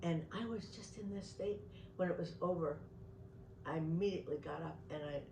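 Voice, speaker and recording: A woman with an American accent talks at a fairly quick pace in a very deep, low voice with ordinary pitch variation. Audible room echo and noticeable background noise come through. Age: 80s. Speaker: retired clinician and meditation teacher. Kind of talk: interview. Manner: halting.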